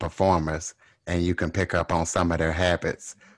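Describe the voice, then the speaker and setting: A man with a Louisiana accent speaks at a moderate pace in a very deep, low pitch and a flat monotone. The sound is dry and close, with no echo. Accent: Louisiana Southern. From US South, Louisiana. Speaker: podcast host. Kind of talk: interview.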